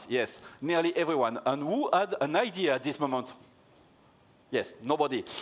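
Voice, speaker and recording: In a French accent, a man speaks at a moderate pace with a fairly high pitch, lively intonation and long, frequent pauses. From France. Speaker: security researcher, conference keynote speaker. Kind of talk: conference keynote talk. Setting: stage with audience. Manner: halting.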